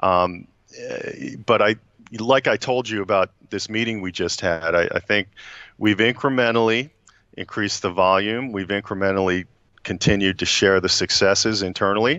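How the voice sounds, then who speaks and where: A man with an American accent at a moderate pace, fairly even intonation, long and frequent pauses, dry sound with no echo. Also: quiet background. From US Northeast. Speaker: HR executive; guest. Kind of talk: interview. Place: office. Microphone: video call.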